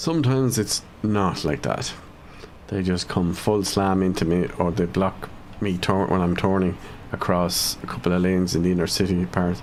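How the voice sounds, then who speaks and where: A man with an Irish accent speaks at a moderate pace in a very deep, low voice, with ordinary pitch variation and very even loudness. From Ireland, County Cavan. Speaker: gaming streamer. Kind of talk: live gameplay commentary. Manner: casual, thinking aloud.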